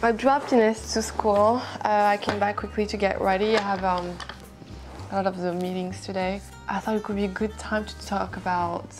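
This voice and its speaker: A woman talks at a fairly quick pace while clear music sounds in the background. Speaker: beauty vlogger. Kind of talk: casual vlog chat. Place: home room.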